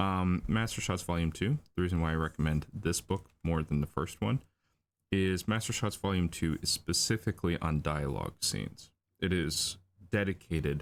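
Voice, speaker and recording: A mumbling man with a very deep, low pitch, ordinary pitch variation and a moderate pace, on a very clean recording with a silent background. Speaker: storyboard artist streaming drawing session. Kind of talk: livestream tutorial while drawing. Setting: livestream at home computer. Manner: hesitant, many fillers.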